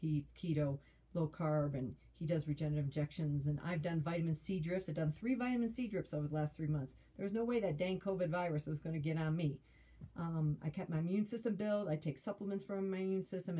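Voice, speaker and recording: At a very fast pace, a woman speaks with a fairly low pitch, ordinary pitch variation, a dark, mellow tone and a somewhat breathy quality. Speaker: health vlogger. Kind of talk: casual vlog chat. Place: home room. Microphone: phone near.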